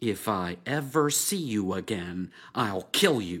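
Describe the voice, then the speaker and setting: In a very clean recording with a silent background, a man puts on a growling, menacing character voice, fairly low in pitch, with lively intonation at a fairly slow pace. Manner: menacing, growling.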